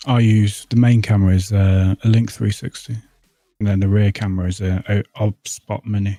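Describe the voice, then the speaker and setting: A man's dark, mellow voice runs flat and monotone in a dry, close sound with no echo. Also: fairly low pitch for a man, moderate pace. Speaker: streamer. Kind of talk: casual chat.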